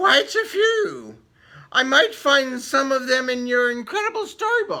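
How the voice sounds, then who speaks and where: At a fairly slow pace, a squeaky, high-pitched put-on character voice speaks. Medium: read story.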